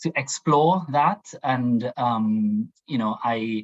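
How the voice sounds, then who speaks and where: A man of medium pitch with a Trinidadian accent and ordinary pitch variation. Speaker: diversity and inclusion professional, panelist. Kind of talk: panel discussion. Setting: video call. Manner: halting.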